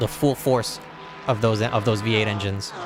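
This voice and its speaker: A man's medium-pitched voice with an American accent, ordinary pitch variation, and noticeable background noise. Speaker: sim racing commentator. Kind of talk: live commentary.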